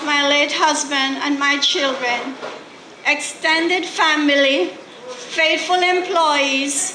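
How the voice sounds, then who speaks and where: Speaking very slowly in a raised, projected voice with a Jamaican accent, a woman keeps a high pitch and fairly even intonation, with audible room echo and noticeable background noise. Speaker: record label co-founder. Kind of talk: award acceptance speech.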